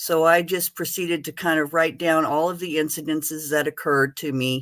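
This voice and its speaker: A very clean recording with a silent background, the delivery at a moderate pace. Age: 60s. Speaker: veteran, retired teacher. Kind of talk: testimony. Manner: halting.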